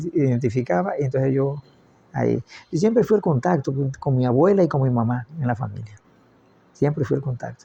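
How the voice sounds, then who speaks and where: A man's dark, mellow, somewhat breathy voice at medium pitch, fairly quick with long, frequent pauses and lively intonation. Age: 80s+. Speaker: family elder recounting life story. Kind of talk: oral history interview. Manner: halting, repeats words.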